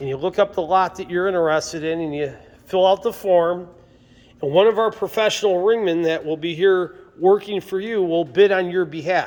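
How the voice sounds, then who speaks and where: Upbeat and enthusiastic, a high-voiced man talks at a moderate pace. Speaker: auctioneer. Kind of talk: auction preview walkthrough. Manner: upbeat, enthusiastic.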